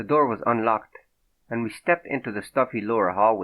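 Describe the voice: Over a quiet background comes plain reading aloud, its pitch varying in an ordinary way.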